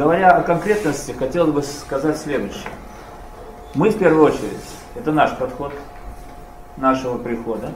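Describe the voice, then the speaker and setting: There is audible room echo and light background noise as a man speaks at a moderate pace. He leaves long, frequent pauses. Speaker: priest giving a report. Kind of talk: formal report to an audience. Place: meeting room. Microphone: camera far.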